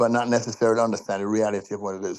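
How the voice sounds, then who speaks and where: Over a quiet background, a man speaks with a fairly low pitch and monotone, flat intonation. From Jamaica. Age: 70s. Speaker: participant in a group call. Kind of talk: personal sharing in a group video call. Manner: halting, repeats words.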